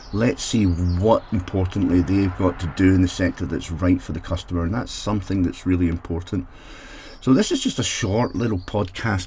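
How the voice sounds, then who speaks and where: A man with a Scottish accent has a dark, mellow tone, a very deep, low pitch, a somewhat breathy quality and ordinary pitch variation. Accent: Scottish brogue. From Scotland. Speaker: technology consultant for social housing. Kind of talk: solo mini podcast.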